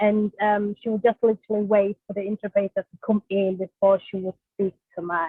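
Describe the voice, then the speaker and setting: A woman with a German accent talks at a fairly quick pace and medium pitch, her intonation monotone and flat but her loudness swinging widely. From Germany. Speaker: social worker. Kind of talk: webinar presentation. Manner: hesitant, many fillers.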